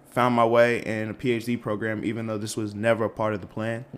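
Speaking with an American accent, a man keeps a medium pitch and a monotone, flat intonation at a fairly quick pace. Noticeable background noise can be heard. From Boston area, Massachusetts. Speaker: PhD student. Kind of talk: casual chat.

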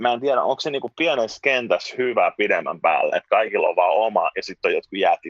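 The man rushes along at a very fast pace with hardly any pauses. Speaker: musician and former journalist. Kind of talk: casual interview chat. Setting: video call from home (children's room).

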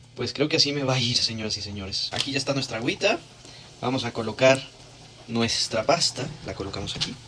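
A man speaks at a fairly quick pace in a medium pitch with ordinary pitch variation. Long, frequent pauses break up his speech over noticeable background noise. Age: young. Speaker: podcast co-host. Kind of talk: food challenge demonstration. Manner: animated.

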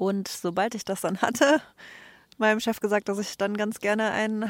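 A woman speaks at a fairly slow pace in a medium pitch with fairly even intonation, the sound dry and close with no echo, on a very clean recording with a silent background. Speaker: traveler, interview guest. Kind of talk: interview. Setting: outdoors on a bench.

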